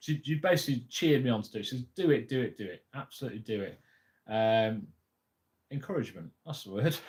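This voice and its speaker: A man's somewhat breathy voice with lively intonation, moving at a very fast pace. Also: medium pitch for a man, big swings in loudness. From England, Lincolnshire. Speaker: YouTuber on frugal living. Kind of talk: casual livestream chat. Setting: live stream. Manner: occasionally halting, mixes up words.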